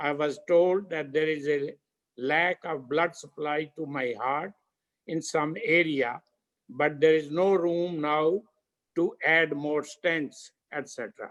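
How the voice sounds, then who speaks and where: A man speaks at a very slow pace, his pitch varying in an ordinary way. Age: 80s+. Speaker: yoga practitioner giving testimony. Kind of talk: testimony.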